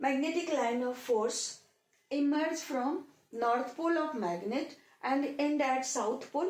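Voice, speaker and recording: A woman speaks at a high pitch with lively intonation. Her pace is very slow. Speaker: physics teacher. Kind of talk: lecture. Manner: hesitant.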